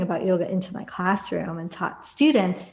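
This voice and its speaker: A somewhat breathy woman with an American accent, medium pitch and fairly even intonation, in a very clean recording with a silent background. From Los Angeles area, US. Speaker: yoga teacher and author. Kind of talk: interview conversation.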